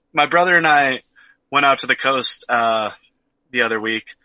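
A man with an American accent speaks in a fairly high, bright and sharp voice with lively intonation. The sound is dry and close, without echo. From Oregon. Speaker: podcast co-host. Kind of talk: casual chat.

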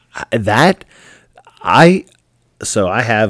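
A man's voice comes through dry and close, with no echo at all. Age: 40s. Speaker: podcast host. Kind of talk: casual solo commentary.

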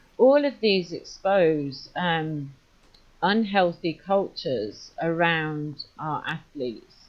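With a British accent, a woman talks very slowly in a fairly low pitch. Her intonation is lively. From UK. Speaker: safeguarding consultant. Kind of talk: interview conversation.

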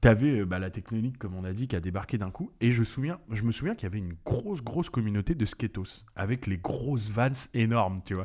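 A man with an unremarkable speaking voice talks at a fairly quick pace with hardly any pauses, at medium pitch with ordinary variation. The recording is very clean, with a silent background. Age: 30s. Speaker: podcast co-host. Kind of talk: casual chat.

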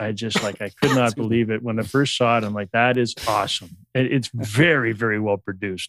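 In a very clean recording with a silent background and a dry, close sound with no echo, a man talks at a medium pitch and a fairly quick pace with hardly any pauses. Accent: Canadian. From Canada. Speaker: podcast guest. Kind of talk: casual chat. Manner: animated, swears a lot.

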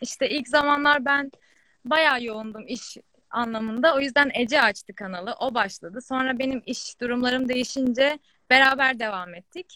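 A woman's high-pitched voice, bright and sharp in tone, with big swings in loudness, in a dry, close sound with no echo. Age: 20s. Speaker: fashion entrepreneur. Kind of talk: casual chat.

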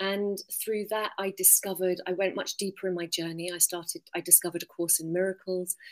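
A woman with an English accent at a fairly quick pace, her intonation monotone and flat. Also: medium pitch for a woman. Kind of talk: interview.

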